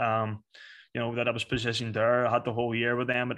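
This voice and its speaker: Against a quiet background, a man with a strong Northern Irish accent speaks at a medium pitch in a monotone, flat intonation. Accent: Northern Irish, fairly strong. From Belfast, Northern Ireland. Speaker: soccer coach. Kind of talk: interview, casual chat.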